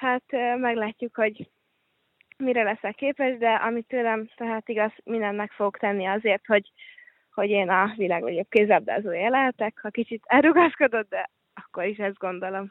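In a plain, everyday voice, a woman speaks at a fairly high pitch and a moderate pace, with ordinary pitch variation. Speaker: handball player. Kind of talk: interview.

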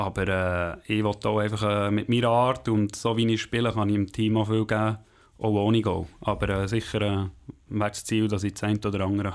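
On a very clean recording with a silent background, a man speaks fairly quickly in a fairly low pitch with monotone, flat intonation. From Switzerland, Bern region (Langenthal). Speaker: ice hockey player. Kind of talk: interview.

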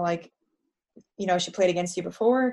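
A woman's medium-pitched voice, an ordinary speaking voice, with ordinary pitch variation. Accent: American. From US, New Jersey. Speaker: professional footballer. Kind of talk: interview.

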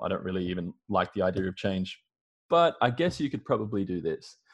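With an Australian accent, a man talks at a fairly quick pace in a fairly low pitch. The background is quiet. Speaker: marketing consultant. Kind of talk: casual interview chat. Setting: video call from home.

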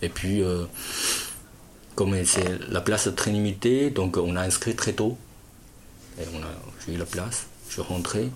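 Over noticeable background noise, a man with a Chinese accent speaks at a very slow pace in a very deep, low voice, with ordinary pitch variation and long, frequent pauses. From China. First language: Chinese (speaking French). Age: 30s. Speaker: importer-exporter. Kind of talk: interview. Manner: halting.

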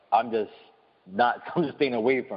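Speaking in a New York accent, a man with a medium-pitched voice keeps a moderate pace. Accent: New York City. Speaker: visual artist. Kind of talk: casual chat. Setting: studio.

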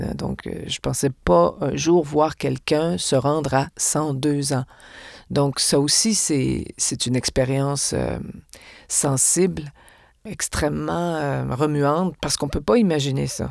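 In a very clean recording with a silent background, a woman with a very deep, low pitch speaks at a very slow pace with lively intonation. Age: 60s. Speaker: actress and stage director. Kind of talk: interview conversation.

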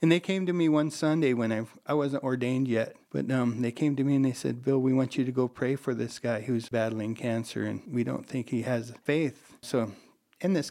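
At a moderate pace, a man with a medium pitch and a dark, mellow tone talks with ordinary pitch variation. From western South Dakota, Rapid City. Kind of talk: interview. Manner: halting, hesitant.

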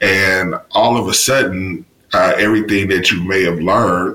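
A man with a Mississippi accent talks over noticeable background noise. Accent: Southern US (Mississippi). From US South, Mississippi. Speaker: university diversity officer and professor. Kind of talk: interview.

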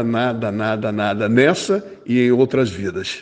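This man has a medium pitch and ordinary pitch variation. He talks at a fairly slow pace. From Rio de Janeiro, Brazil. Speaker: football fan guest. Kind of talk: casual chat. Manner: hesitant, repeats words.

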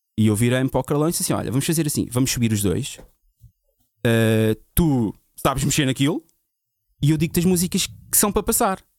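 A man talks at a fairly quick pace with long, frequent pauses and a medium pitch that swings very widely. The sound is dry and close with no echo, with music playing in the background. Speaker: DJ. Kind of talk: casual chat.

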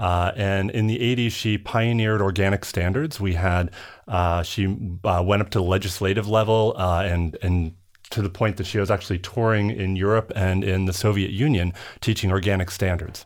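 A man with an American accent has an unremarkable speaking voice at a fairly low pitch, with fairly even intonation. He talks at a moderate pace on a very clean recording with a silent background. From Minnesota. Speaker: company founder. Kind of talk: interview. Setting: studio.

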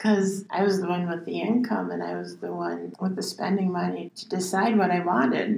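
Over noticeable background noise, a woman talks at a moderate pace with hardly any pauses and big swings in loudness. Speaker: songwriter and poet. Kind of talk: casual chat. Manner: halting, spacey-sounding.

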